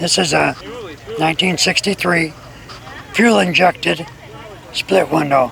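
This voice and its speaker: Against crowd noise in the background, a high-pitched man talks at a fairly slow pace with ordinary pitch variation and long, frequent pauses. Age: 80s+. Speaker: car restorer. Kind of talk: casual interview.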